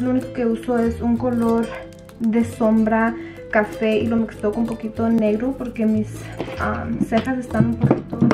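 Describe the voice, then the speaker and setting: Clear music plays in the background while a woman speaks at a moderate pace. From Durango, Mexico. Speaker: beauty vlogger. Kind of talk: casual makeup tutorial talk to camera. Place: home room. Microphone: camera far.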